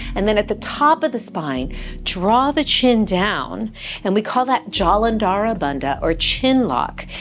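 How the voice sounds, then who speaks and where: Music plays in the background as a woman speaks in a calm tone. Her pitch is medium and her pace fairly slow. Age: 60s. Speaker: yoga teacher. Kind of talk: guided chair yoga class. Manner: calm, soft-spoken, instructional.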